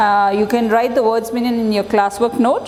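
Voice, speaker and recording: A woman speaks at a fairly high pitch with ordinary pitch variation. Noticeable background noise runs underneath. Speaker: schoolteacher. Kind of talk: online class lesson. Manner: slow.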